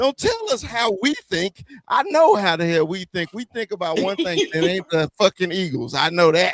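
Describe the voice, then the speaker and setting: A man with a Southern US accent talks at a moderate pace in a high pitch, with lively intonation, hardly any pauses, and a dry, close sound with no echo. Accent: Southern twang. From US South. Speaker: Dallas Cowboys fan guest on sports podcast. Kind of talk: casual sports banter. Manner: animated, stammering.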